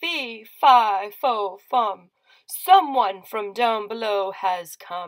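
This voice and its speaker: A woman puts on a character voice at a fairly high pitch. She speaks at a very slow pace. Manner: menacing.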